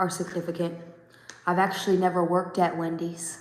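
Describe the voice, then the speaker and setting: Audible room echo carries a woman's fairly low-pitched voice. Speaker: tarot reader. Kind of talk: tarot reading. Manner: casual, conversational.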